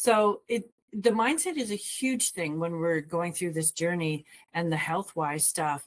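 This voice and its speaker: A woman with a plain, everyday voice, fairly low pitch, lively intonation and a fairly slow pace. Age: 60s. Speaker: wellness coach. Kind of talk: casual discussion.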